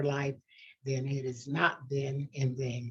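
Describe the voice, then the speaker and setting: A woman with an American accent speaks at a very slow pace. Her pitch is very deep and low, and her voice is somewhat breathy. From Tucson, Arizona. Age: 90s. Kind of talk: oral history interview.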